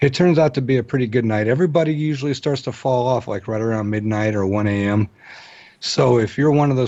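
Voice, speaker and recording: A man with an unremarkable speaking voice, a fairly quick pace and ordinary pitch variation. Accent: American. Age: 40s. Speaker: paranormal podcaster. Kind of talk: casual chat. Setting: radio show.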